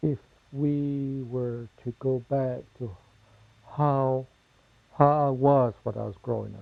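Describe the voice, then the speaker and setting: Speaking very slowly with long, frequent pauses, a man with a Southwestern US accent holds a medium pitch and a monotone, flat intonation while his loudness swings widely. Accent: Navajo-accented English. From Navajo Nation, US Southwest. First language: Navajo. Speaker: interviewee. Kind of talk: interview testimony.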